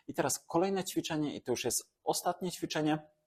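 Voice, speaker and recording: A man does the talking. The background is silent in this very clean recording. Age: 30s. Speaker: fitness and regeneration trainer. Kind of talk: exercise tutorial. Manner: calm, instructive.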